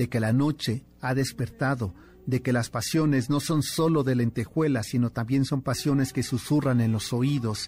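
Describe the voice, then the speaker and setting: The man's somewhat breathy voice moves at a moderate pace with fairly even intonation, recorded very cleanly over a silent background. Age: 50s. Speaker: radio host. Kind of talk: radio show with scripted history narration. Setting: radio studio.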